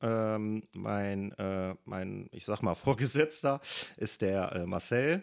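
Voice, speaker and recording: The recording is very clean and the background silent. The man talks at a very slow pace. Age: 30s. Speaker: marksmen's club member and waste management manager. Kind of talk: interview. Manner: hesitant, many filler sounds.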